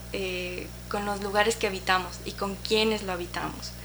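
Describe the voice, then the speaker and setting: Noticeable background noise and audible room echo accompany speech delivered at a fairly slow pace. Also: woman. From Ecuador. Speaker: photographer. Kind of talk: interview. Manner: halting.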